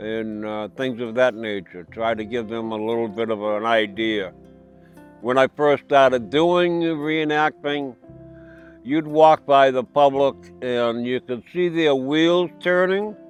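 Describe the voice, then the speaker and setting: Over music in the background, a man with an American accent talks at a fairly slow pace, his medium-pitched voice carrying lively intonation. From Massachusetts. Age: 70s. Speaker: Civil War reenactor, Vietnam veteran. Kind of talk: interview answer.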